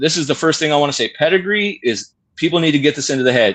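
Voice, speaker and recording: A man speaks with a lively, bouncing intonation. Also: quiet background. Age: 40s. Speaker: dog breeder and trainer. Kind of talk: casual chat. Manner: rambling, mumbling.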